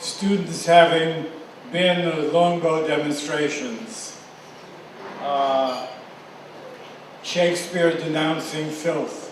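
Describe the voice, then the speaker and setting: Long, frequent pauses break up a man's very slow speech with fairly even intonation. Audible room echo and noticeable background noise are present. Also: fairly high pitch for a man. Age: 80s+. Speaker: award recipient, newspaper founder. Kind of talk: acceptance speech.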